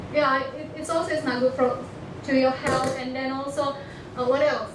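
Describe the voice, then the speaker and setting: High-pitched, a woman's voice carries audible room echo. Noticeable background noise is present too. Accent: Indonesian. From Indonesia, Batak. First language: Batak. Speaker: international student. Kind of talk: presentation to an audience. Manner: halting, many fillers and restarts.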